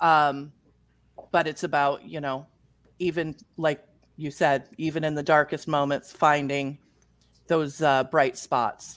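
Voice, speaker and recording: The recording is very clean, with a silent background. The pace is fairly slow. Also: woman. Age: 40s. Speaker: romance author. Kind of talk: casual interview chat.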